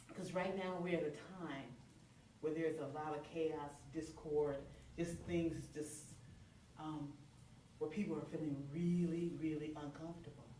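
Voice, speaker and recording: A woman's very deep, low voice at a fairly slow pace, monotone and flat, with long, frequent pauses, audible room echo and noticeable background noise. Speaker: minister. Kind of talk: sermon. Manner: loud.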